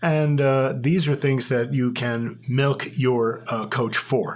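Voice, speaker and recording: The man's speech bounces with audible room echo. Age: 70s. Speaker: gym member. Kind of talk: casual chat.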